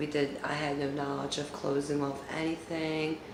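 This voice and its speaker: The speech has a monotone, flat intonation at a moderate pace, with audible room echo and noticeable background noise. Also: woman. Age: 40s. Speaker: YouTuber storyteller. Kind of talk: storytime monologue. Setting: at home. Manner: casual, with fillers.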